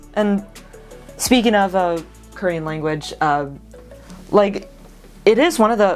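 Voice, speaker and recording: Over music in the background, a woman with an American accent speaks at a fairly slow pace with lively intonation. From United States. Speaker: vlogger. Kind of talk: casual talk to camera.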